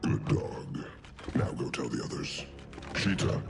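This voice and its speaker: A man uses a put-on character voice at a fairly slow pace. Loud background noise runs underneath. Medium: game stream. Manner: commanding, grandiose.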